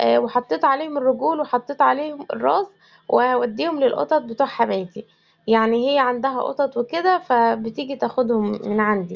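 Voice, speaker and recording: Speaking with an Egyptian accent, a woman uses a high pitch and lively intonation at a moderate pace, her loudness very even throughout. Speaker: homemaker vlogger. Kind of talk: home vlog narration.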